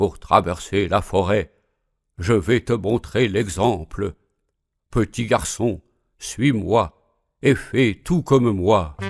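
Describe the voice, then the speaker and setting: A rumbling put-on character voice moves at a very slow pace with long, frequent pauses, captured in a very clean recording with a silent background. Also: man, fairly low pitch for a man. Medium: read story. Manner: grumbling.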